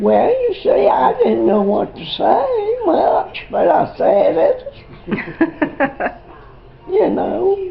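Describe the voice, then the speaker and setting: A woman with a Southern Appalachian accent amid noticeable background noise. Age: 80s+. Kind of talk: casual conversation.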